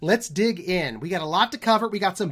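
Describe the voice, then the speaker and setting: In a very clean recording with a silent background, a man talks in an animated tone at a fairly quick pace with very wide pitch swings. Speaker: NFT project art lead and community update host. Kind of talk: community update video. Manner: fast.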